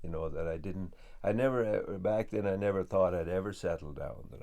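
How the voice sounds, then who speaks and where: With audible room echo, a man talks at a very fast pace in a very deep, low pitch and a dark, mellow tone. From west of Ireland. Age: 60s. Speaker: homesteader and woodworker. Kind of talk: documentary interview. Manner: hesitant, many fillers.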